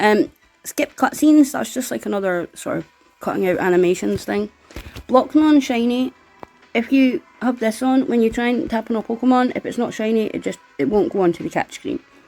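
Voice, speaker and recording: Music plays in the background. Over it, a woman speaks in a high voice. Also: lively intonation, fairly quick pace. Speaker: gaming tutorial youtuber. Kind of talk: tutorial. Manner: fast.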